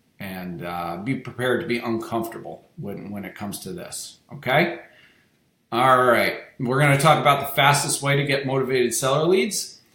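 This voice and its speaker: A man's bright, sharp tone at a moderate pace, with lively intonation and audible room echo. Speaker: real estate wholesaling coach. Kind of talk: webinar presentation.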